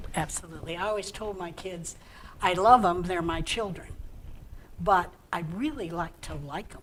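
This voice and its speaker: Noticeable background noise sits behind a woman with a fairly low pitch. Her pitch varies in an ordinary way while her loudness swings widely. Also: moderate pace. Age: 70s. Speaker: senior center member. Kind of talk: interview.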